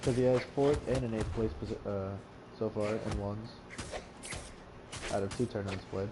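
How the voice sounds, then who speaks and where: A man with a fairly low pitch is heard amid noticeable background noise and audible room echo. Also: ordinary pitch variation, moderate pace. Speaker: esports commentator. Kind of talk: live commentary. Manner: animated; stuttering at times.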